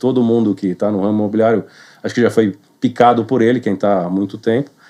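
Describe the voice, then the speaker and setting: At a very fast pace, a man talks in a dark, mellow tone. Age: 40s. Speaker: real estate sales manager. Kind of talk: podcast interview.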